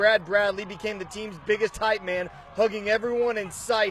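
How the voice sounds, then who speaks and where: A man talks at a fairly quick pace with a high pitch and fairly even intonation. Noticeable background noise runs behind him. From Oklahoma. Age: 20s. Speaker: sports reporter. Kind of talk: sports highlight narration.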